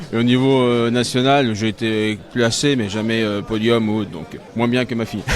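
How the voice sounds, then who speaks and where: A man talks at a moderate pace with hardly any pauses, at a medium pitch and with fairly even intonation. Noticeable background noise runs underneath. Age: 40s. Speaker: sport shooting coach and father of competitor. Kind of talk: casual interview. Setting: shooting range at championship.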